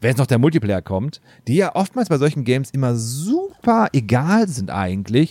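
A man's animated voice in a dry, close sound with no echo. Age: 30s. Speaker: drummer and podcaster. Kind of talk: casual chat.

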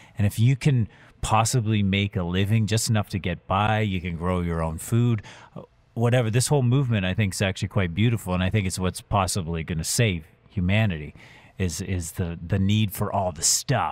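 Over a silent background in a very clean recording, a man speaks fairly quickly in a plain, everyday voice, fairly low in pitch with ordinary pitch variation. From Huron County, Ontario, Canada. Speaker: radio host. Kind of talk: casual chat.

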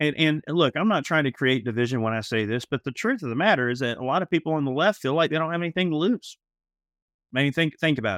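Lively in his intonation, a man talks at a very fast pace in a fairly high voice. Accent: Southern US. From US South, Georgia (Atlanta area). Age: 30s. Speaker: gun podcast co-host. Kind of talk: casual chat.

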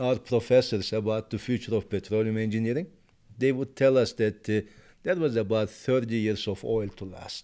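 At a moderate pace, a man with a Turkish accent talks in a medium pitch with ordinary pitch variation, captured in a very clean recording against a silent background. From Turkey. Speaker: petroleum engineering professor. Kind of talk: interview.

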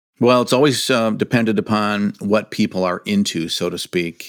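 Fairly low in pitch, a man with an American accent and an unremarkable speaking voice speaks at a moderate pace with ordinary pitch variation, in a very clean recording with a silent background. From Michigan. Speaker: tourism executive. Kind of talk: casual interview.

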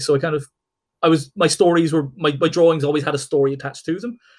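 A man talks at a very fast pace in an Irish accent. His voice is somewhat breathy. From Ireland. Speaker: comic book artist and writer. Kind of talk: casual interview.

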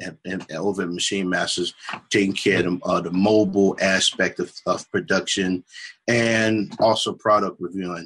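Using a normal speaking voice, the man delivers his words with fairly even intonation and a fairly low pitch. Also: moderate pace. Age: 30s. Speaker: music producer. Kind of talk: casual chat.

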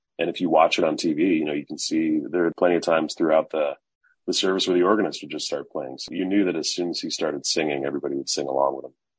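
A man with an American accent, very deep and low in pitch, very fast, with vocal fry and fairly even intonation. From Chicago area, US Midwest. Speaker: speechwriter and author. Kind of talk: interview.

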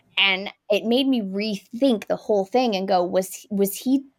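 On a very clean recording with a silent background, a woman with an American accent speaks at a moderate pace in a medium pitch with fairly even intonation. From California. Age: 30s. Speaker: film critic. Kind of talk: casual chat.

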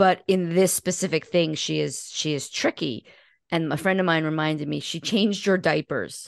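A woman with a fairly low voice and a normal speaking voice talks at a moderate pace, with ordinary pitch variation, against a quiet background. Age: 50s. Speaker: podcast host and guest. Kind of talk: casual interview conversation.

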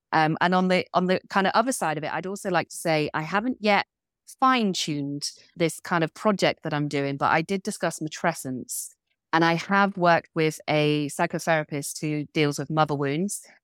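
A southwest English accent at a moderate pace, with ordinary pitch variation. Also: woman, fairly low pitch for a woman. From England, Devon. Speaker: coach and business owner. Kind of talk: interview conversation. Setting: video call.

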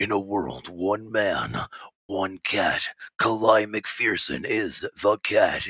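In a put-on character voice, the speaker sounds raspy and goes at a very slow pace. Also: man, fairly low pitch for a man. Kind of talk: dramatic trailer narration.

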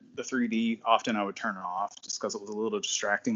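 Speaking at a fairly quick pace, a man uses an ordinary speaking voice with lively intonation. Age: 40s. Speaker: library worker and fan event organizer. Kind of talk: casual chat.

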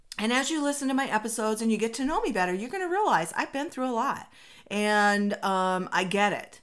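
In an American accent, a woman with a fairly high pitch talks at a fairly quick pace, her tone animated and her intonation lively. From Minnesota. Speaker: inspirational podcast host. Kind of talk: motivational monologue.

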